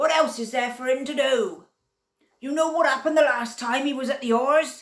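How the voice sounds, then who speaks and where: A woman puts on a character voice pitched high. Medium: read story. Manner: forceful, blunt.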